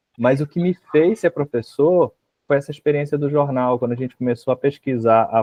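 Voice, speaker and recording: This is a man speaking. He has a Rio de Janeiro accent. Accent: Rio de Janeiro accent, hissing s. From Rio de Janeiro, Baixada Fluminense. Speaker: university history professor. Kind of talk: interview.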